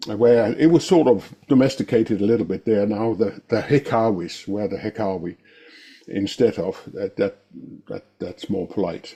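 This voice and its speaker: Dark, mellow tone from a man at fairly low pitch. His pace is moderate, with ordinary pitch variation. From western Denmark. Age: old. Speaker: Scrum trainer. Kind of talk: presentation. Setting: video call. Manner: halting.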